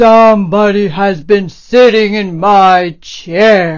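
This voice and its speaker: A woman uses a gruff, put-on character voice at medium pitch. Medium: read story.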